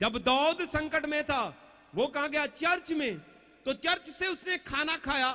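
Over a quiet background, a man projects a raised voice at an extremely high pitch, bright and sharp in tone, moving at a very slow pace with ordinary pitch variation. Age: 40s. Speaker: pastor; preacher. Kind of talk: sermon. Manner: animated. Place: tent. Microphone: handheld.

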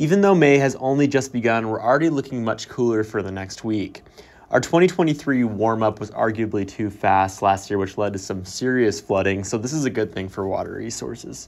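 A man talks in a normal speaking voice at a moderate pace, with ordinary pitch variation and hardly any pauses. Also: medium pitch for a man. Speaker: weather forecaster. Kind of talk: scripted radio weather report with playful, colorful phrasing. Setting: radio studio. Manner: brisk, upbeat delivery with wry asides; clear, measured reading of numbers and regions.

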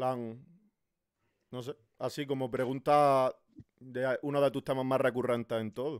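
Over a quiet background, a man speaks fairly slowly in a monotone, flat voice. He leaves long, frequent pauses. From Spain. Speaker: content creator and streamer; content creator, streamer. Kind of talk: casual interview. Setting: live stream. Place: home room. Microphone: studio mic.

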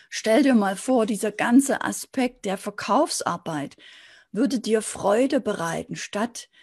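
A woman speaks at a fairly slow pace with vocal fry and a fairly high pitch. Her pitch varies in an ordinary way against a quiet background. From East Germany, Dresden (Saxony); Saxony. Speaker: sales and business coach; sales, business coach. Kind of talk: motivational video talk to camera. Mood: warm, encouraging. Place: office. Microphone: webcam.

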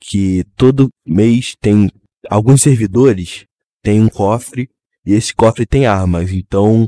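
A man's fairly low-pitched, dark, mellow voice at a very slow pace, with ordinary pitch variation, a dry, close sound with no echo, and a very clean recording over a silent background. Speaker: gaming youtuber. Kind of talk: gameplay narration. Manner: casual.

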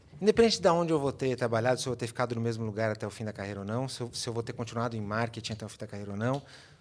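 A man talking at a very fast pace. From Brazil. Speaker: marketing executive; podcast guest. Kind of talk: interview. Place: studio. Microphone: studio mic.

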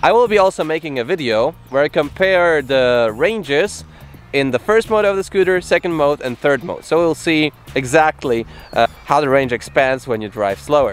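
With faint music in the background, a man speaks at a moderate pace in a dry sound with no echo. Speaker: scooter reviewer. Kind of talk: product review vlog. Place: waterside. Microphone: phone near.

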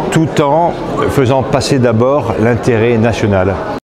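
A man talks very slowly while loud noise fills the background. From northern France (Picardy). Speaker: politician. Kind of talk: interview answer. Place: hall.

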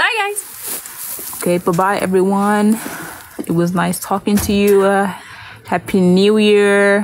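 A woman speaks very slowly in a monotone, flat way. Her loudness stays very even over light background noise. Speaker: K-pop idol on livestream. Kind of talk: casual livestream chat reading fan comments. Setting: livestream from home at night. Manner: quiet, trying not to wake others; laughs often. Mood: relaxed, friendly. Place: home room. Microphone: phone near.

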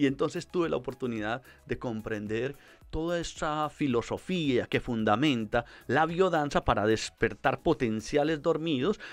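Faint music plays in the background as a man speaks. His intonation is lively and his pace moderate. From Colombia, Medellín. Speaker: psychologist; guest. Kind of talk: interview. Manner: hesitant with fillers. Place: studio. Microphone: studio mic.

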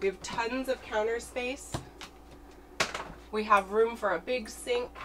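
Against noticeable background noise, a woman speaks at a fairly slow pace. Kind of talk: casual vlog tour. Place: boat. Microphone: camera far.

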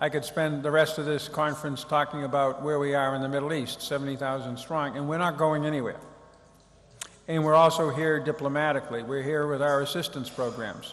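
A man's fairly high, flat, monotone voice with an American accent. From United States. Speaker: former diplomat. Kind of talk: lecture. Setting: stage with audience. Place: hall. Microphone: studio mic.

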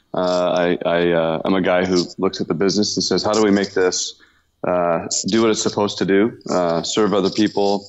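A man talks at a moderate pace. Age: 50s.

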